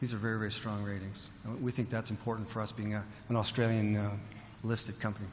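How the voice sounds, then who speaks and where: A somewhat breathy man with a Canadian accent at a very fast pace, with audible room echo. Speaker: mining company executive. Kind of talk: conference presentation. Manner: halting, many fillers and repeats.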